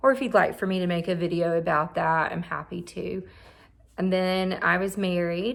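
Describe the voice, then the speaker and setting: Her fairly low voice holds a fairly even intonation as the woman speaks. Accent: strong Southern US. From Mississippi. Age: 30s. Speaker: therapist and vlogger. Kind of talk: personal vlog monologue. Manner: halting.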